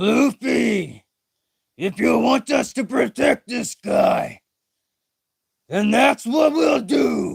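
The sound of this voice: Using a put-on character voice, a man talks at a high pitch and a very slow pace, with long, frequent pauses.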